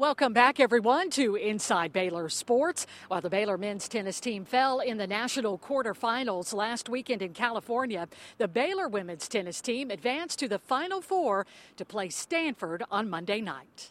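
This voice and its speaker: A woman's fairly high voice with very wide pitch swings at a moderate pace, dry and close with no echo. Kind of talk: sports news show hosting. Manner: polished, upbeat broadcaster delivery.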